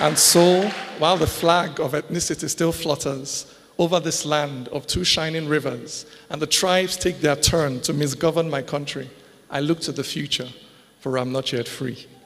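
Keeping a moderate pace, the man speaks with fairly even intonation. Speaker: spoken word poet. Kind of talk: poetry reading. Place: stage. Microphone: handheld.

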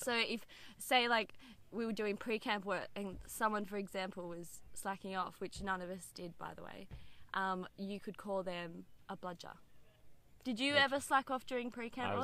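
In an Australian accent, a woman with a bright, sharp tone talks at a moderate pace, with big swings in loudness, long, frequent pauses and a dry sound with no echo. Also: ordinary pitch variation. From Canberra, Australia. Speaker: video guest teaching slang. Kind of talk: casual vlog chat. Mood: playful, laughing. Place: open country.

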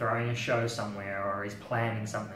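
A man at a moderate pace with fairly even intonation, audible room echo and light background noise. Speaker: music journalist. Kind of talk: interview answer. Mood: relaxed, reflective. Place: home room.

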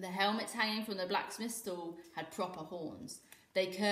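The intonation holds fairly even during reading aloud in a natural voice.

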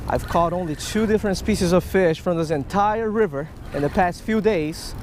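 At a high pitch with ordinary variation, a man speaks at a moderate pace in a dry sound with no echo, over light background noise. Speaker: fishing vlogger. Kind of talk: casual vlog chat. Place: waterside. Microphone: phone near.

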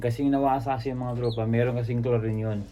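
A man talks at a fairly quick pace in a dark, mellow tone with monotone, flat intonation. Audible room echo surrounds the voice. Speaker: pigeon-racing hobbyist vlogger. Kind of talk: casual vlog talk to viewers.

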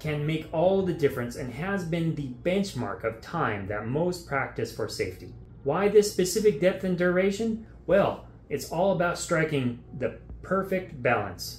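Light background noise and audible room echo accompany a man speaking at a fairly slow pace. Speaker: diving instructor. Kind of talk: tutorial. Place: studio.

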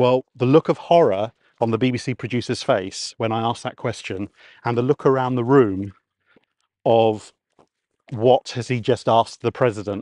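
A man with a southern English accent speaks in a dark, mellow tone with fairly even intonation and long, frequent pauses. The sound is dry with no echo, over a quiet background. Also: moderate pace. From Kent, southeast England; southeast England. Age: 40s. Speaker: radio presenter. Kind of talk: casual chat. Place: open country. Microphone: lapel.

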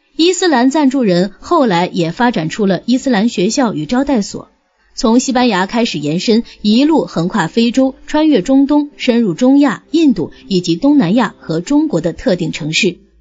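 A woman speaks at a fairly high pitch and a moderate pace, her pitch swinging very widely. Music plays in the background. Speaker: audiobook narrator. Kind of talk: reading aloud.

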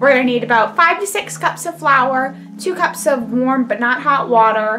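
Clear music plays in the background as a woman speaks with a high pitch. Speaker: home cook host. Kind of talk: tutorial. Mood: playful, upbeat. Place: kitchen. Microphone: camera far.

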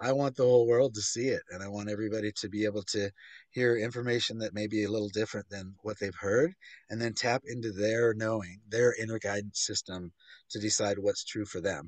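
With a quiet background and a dry sound with no echo, a man talks in an ordinary speaking voice at a fairly quick pace, fairly low pitch and fairly even intonation. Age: 50s. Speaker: author and filmmaker; interview guest. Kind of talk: interview. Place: home room. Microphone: video call.

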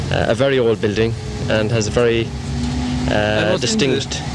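There is noticeable background noise around this man's voice, which sounds dry with no echo. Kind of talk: casual home video commentary. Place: street. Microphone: old recording.

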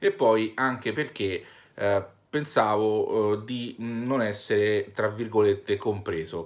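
The delivery is very slow. Intonation stays fairly even. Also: man, fairly low pitch for a man. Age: 30s. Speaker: YouTuber and shop owner; vlogger. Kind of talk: vlog monologue. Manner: hesitant, many fillers. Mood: earnest, personal, a bit weary. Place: home room. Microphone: phone near.

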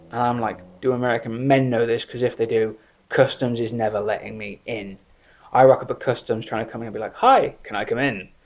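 A man speaks with an English accent at a fairly quick pace. His intonation is monotone and flat. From England. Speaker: writer. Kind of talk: comedic anecdote told to camera. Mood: joking, playful storytelling. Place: home room. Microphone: phone near.

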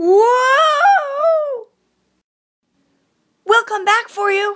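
The cartoonish character voice sits at an extremely high pitch. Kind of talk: audition for fan animation characters. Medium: voice reel.

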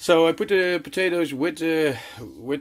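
A man with a Dutch accent against a quiet background. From Netherlands. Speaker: cooking vlogger. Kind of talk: cooking tutorial vlog. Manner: casual, chatty. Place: kitchen. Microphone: phone near.

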